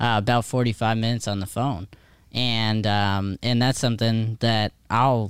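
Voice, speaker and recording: With an unremarkable speaking voice, a man talks at a medium pitch and a moderate pace on a very clean recording with a silent background. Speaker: producer and co-host. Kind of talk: casual chat, show intro and outro.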